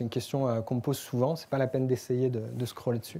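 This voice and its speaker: A man speaks at a medium pitch in a dark, mellow tone. The recording is very clean, with a silent background. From France. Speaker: developer relations speaker. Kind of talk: tech meetup presentation. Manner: hesitant, many filler pauses.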